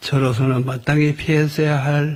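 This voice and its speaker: A shaky, very slow delivery in a monotone, flat intonation, with noticeable background noise. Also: man. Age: 80s+. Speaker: professor emeritus. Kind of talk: funeral eulogy. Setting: funeral ceremony hall. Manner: trembling, holding back grief.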